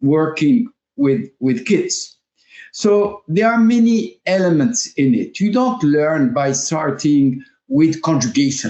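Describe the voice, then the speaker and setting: A man's fairly high voice with very wide pitch swings and very even loudness at a very slow pace. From France. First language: French. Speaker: language teacher and school founder. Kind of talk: interview. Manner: halting, many fillers.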